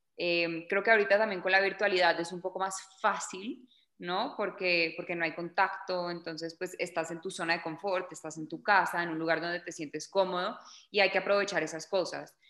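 In a bright, sharp tone, a woman with a fairly low pitch speaks at a moderate pace, her intonation monotone and flat while her loudness swings a lot. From Colombia, Bogotá. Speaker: journalist and actress. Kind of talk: interview.

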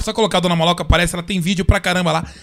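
A man is talking. His pitch is high. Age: 30s. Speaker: podcast host. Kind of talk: casual chat. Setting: studio.

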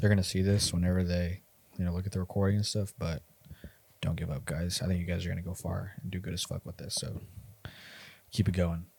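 The speaker, somewhat breathy, talks at a very fast pace with fairly even intonation and long, frequent pauses on a very clean recording with a silent background. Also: man, very deep, low pitch for a man. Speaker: real estate agent. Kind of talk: casual chat.

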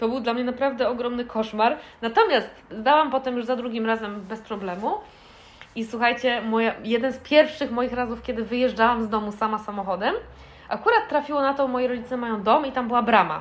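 A high-pitched woman speaks at a very fast pace with fairly even intonation. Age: 30s. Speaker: podcast co-host. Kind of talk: casual chat.

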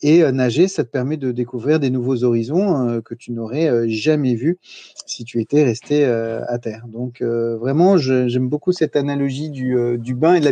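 Dry, close sound with no echo and a man's dark, mellow tone at medium pitch, ordinary pitch variation and a moderate pace. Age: 40s. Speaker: entrepreneur, podcaster. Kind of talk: casual interview. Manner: halting, many fillers and repetitions.

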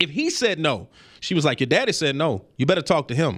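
A man at a very fast pace, passionate in tone, with very wide pitch swings, on a very clean recording with a silent background. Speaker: podcast host. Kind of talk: opinionated solo podcast monologue, ending in an angry rant about parenting. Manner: passionate, scolding, emphatic; direct, urgent, lecturing.

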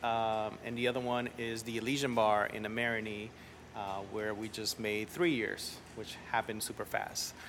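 A man speaks with a Spanish accent at a moderate pace and a medium pitch. His intonation is monotone and flat. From New Orleans, from age 10; early childhood in Central America and Montreal. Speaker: entrepreneur, restaurant and school founder. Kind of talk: casual interview chat. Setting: coffee shop bookstore.

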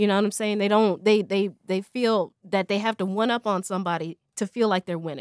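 This woman has an unremarkable speaking voice, medium in pitch, with an American accent. She talks at a fairly quick pace, and the sound is dry and close with no echo. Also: fairly even intonation. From Colorado. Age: young. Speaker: former education worker. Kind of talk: casual chat.

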